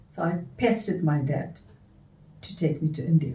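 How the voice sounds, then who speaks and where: The voice has a dark, mellow tone and is somewhat breathy. The pace is fairly slow. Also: woman. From South Africa. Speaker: dancer and performer. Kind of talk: storytelling.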